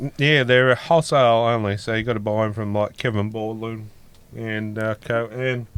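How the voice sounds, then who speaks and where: A man with an Australian accent speaks at a medium pitch and a moderate pace, his intonation fairly even. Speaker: podcast host. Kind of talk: casual chat.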